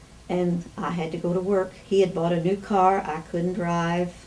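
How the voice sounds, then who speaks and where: Against noticeable background noise, a woman with a fairly low pitch speaks at a fairly slow pace in a monotone, flat intonation. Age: 80s+. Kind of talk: interview answer.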